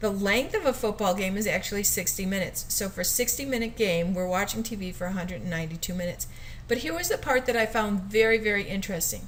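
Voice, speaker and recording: A woman talks at a very fast pace with ordinary pitch variation. Noticeable background noise runs behind her. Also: medium pitch for a woman. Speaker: teacher. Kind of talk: educational video talk.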